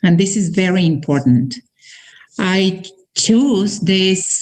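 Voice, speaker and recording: A woman's somewhat breathy, medium-pitched voice in a Mexican accent, at a very slow pace. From northern Mexico, Torreon. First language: Spanish. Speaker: network marketing presenter. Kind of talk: presentation.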